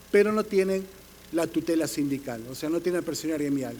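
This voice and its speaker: At a very fast pace, a man speaks in a high voice with ordinary pitch variation. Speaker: panelist on police labor law. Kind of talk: conference panel talk. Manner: halting with fillers and self-corrections.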